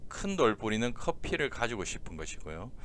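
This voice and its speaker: Here a man speaks with lively intonation. Audible room echo surrounds him. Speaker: exam prep lecturer. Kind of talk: lecture. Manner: slowed down deliberately.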